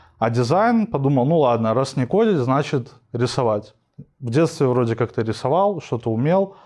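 An ordinary speaking voice from a man, medium in pitch, at a fairly slow pace with lively intonation, on a very clean recording with a silent background. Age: 20s. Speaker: UX/UI designer and instructor. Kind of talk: casual interview.

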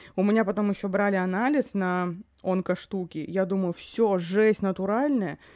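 Her tone is animated as this woman speaks at a moderate pace. Her voice sits at a medium pitch with ordinary pitch variation. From Yakutia, Russia. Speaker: podcast co-host. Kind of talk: casual chat about films. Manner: animated, swears often.

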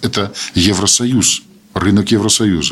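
A man is speaking. His pitch is fairly low. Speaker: Belarusian parliamentarian, commission chair. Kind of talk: round-table discussion. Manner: animated.

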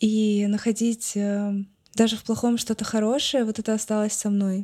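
Her tone is dark and mellow, with a fairly high pitch. The woman keeps a moderate pace and a monotone, flat intonation. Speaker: blogger. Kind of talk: casual chat.

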